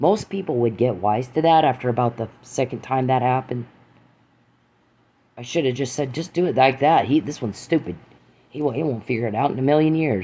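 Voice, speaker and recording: With a dark, mellow tone, a man speaks at a fairly quick pace and a medium pitch, with ordinary pitch variation and long, frequent pauses. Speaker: podcaster. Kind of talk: angry monologue. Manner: fast; loud.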